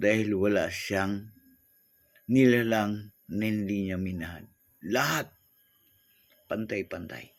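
On a very clean recording with a silent background, a man speaks fairly low with fairly even intonation. His pace is very slow, broken by long, frequent pauses. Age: 60s. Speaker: vlogger. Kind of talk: inspirational monologue.

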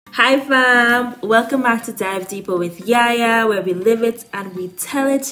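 Against noticeable background noise, a woman with a fairly high pitch speaks at a fairly slow pace with hardly any pauses. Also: ordinary pitch variation. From Dominica. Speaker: vlogger and presenter. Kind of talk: presentation narration. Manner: animated.

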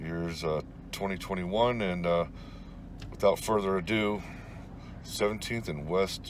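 Over light background noise, a man with a very deep, low voice speaks at a fairly slow pace, the sound dry with no echo. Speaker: urban explorer vlogger. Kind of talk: casual vlog chat. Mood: reflective, slightly wistful. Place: car. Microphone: phone near.

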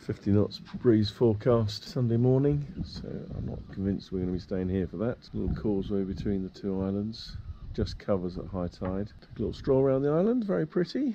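Light background noise sits behind a man speaking at a fairly quick pace. His voice is fairly low in pitch. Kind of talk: casual vlog chat. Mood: relaxed and cheerful. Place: boat.

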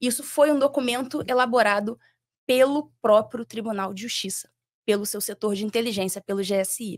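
A woman speaks in a Rio de Janeiro accent with a fairly high pitch. The background is quiet and the sound is dry with no echo. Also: ordinary pitch variation, moderate pace, big swings in loudness. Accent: carioca. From Rio de Janeiro, Brazil. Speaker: former judge; podcast guest. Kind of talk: interview. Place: studio. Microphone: studio mic.

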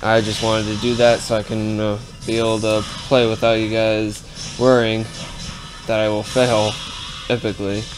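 Clear music plays in the background. The speech moves at a moderate pace with long, frequent pauses. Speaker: gaming video creator. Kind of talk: casual gameplay commentary. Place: home room.

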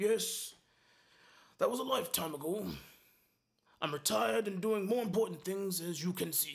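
A gruff, put-on character voice from a man, high-pitched with very wide swings, at a moderate pace broken by long, frequent pauses. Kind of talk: mock badly dubbed monster-movie acting. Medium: fan dub. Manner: gruff, impatient, sarcastic.

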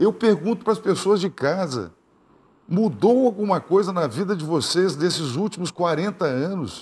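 Talking at a fairly slow pace, a man has a high pitch. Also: lively intonation. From southern Brazil. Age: 60s. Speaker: gubernatorial candidate, politician; candidate. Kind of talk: TV interview, campaign pitch. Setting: TV studio. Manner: animated, direct address to viewers. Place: studio.

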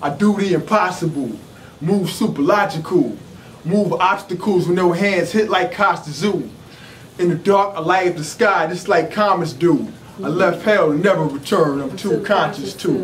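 A man speaks at a high pitch. Light background noise is present. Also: ordinary pitch variation. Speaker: spoken word artist. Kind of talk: rapid-fire rhymed conscious spoken word performance. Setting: live venue. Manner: rhythmic, punchy rhyming delivery with ad-libbed hums and laughs; intense, preacher-like declamation. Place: shop.

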